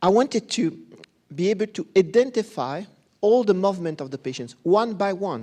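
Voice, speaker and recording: In a Belgian accent, a man speaks with a high pitch, a dark, mellow tone and lively intonation. His pace is moderate, broken by long, frequent pauses. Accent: non-British accent, from Belgium. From Belgium. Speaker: professor of pediatric neurology. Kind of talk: conference talk. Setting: conference stage with audience.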